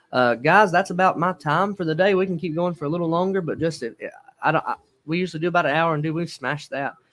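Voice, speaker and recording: In a Southern accent, the speaker talks at a very fast pace with fairly even intonation. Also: man, high pitch for a man. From Alabama. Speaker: livestream host. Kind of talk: live stream interview. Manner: casual.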